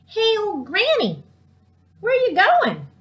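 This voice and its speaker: A woman puts on a character voice. It is squeaky and extremely high pitched. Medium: read story. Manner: coaxing.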